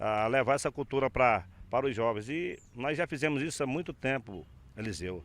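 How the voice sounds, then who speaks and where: Recorded very cleanly against a silent background, a man with a fairly high pitch and vocal fry talks at a moderate pace. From Brazil, Acre (Rio Branco). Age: 60s. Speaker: filmmaker. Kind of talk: interview. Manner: halting.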